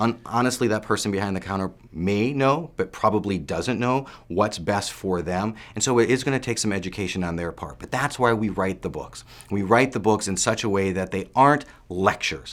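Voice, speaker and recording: A man's fairly low voice, with ordinary pitch variation and a fairly quick pace. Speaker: supplement researcher and author. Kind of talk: interview. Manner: lecturing tone.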